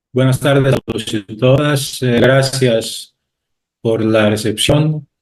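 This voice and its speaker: With a Greek accent, a man speaks at a very slow pace. His intonation is fairly even, and the sound is dry and close with no echo. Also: medium pitch for a man. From Greece. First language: Greek (speaking Spanish). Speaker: university professor. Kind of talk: panel talk. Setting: video call. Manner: halting.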